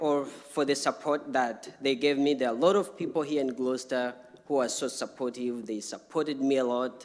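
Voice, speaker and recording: Someone with an African accent talks at a fairly quick clip with hardly any pauses, over noticeable background noise. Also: man. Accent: non-native, African. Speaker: refugee speaker. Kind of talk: personal testimony at public talk.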